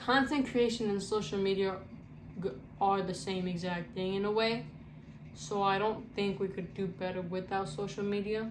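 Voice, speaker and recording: Female speech at a medium pitch and moderate pace, fairly even in intonation, with audible room echo. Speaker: content creator. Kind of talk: casual Q&A vlog. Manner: halting, self-described stuttering; casual, slangy.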